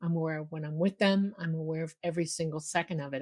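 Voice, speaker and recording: Flat and monotone, a woman talks at a fairly quick pace with an American accent. Her pitch is fairly low. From Miami, Florida. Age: 60s. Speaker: UFO contactee. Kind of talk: interview testimony.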